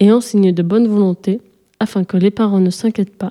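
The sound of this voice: The reading is done in an unforced voice with fairly even intonation. The background is quiet.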